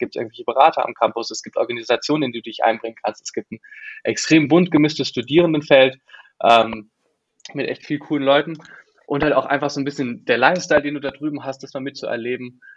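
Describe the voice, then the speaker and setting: Delivered at a very fast pace, the speech shows big swings in loudness and ordinary pitch variation. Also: man. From Germany, Freiburg. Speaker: exchange student. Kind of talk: podcast interview.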